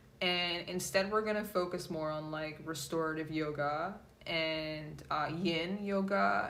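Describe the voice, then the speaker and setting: Audible room echo follows speech delivered very slowly. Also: woman. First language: Polish. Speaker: tarot reader and yoga instructor. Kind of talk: casual talk to viewers. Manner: hesitant with many fillers.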